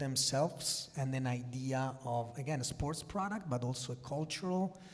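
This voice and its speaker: A man speaks with an Italian accent at a medium pitch and moderate pace. Audible room echo surrounds his voice. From Italy. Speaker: sports executive. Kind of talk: conference panel discussion.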